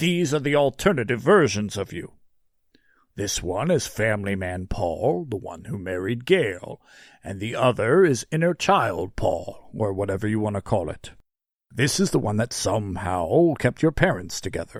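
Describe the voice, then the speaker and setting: In a very clean recording with a silent background, a man puts on a character voice at a medium pitch. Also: moderate pace. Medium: read story. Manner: explanatory, blunt.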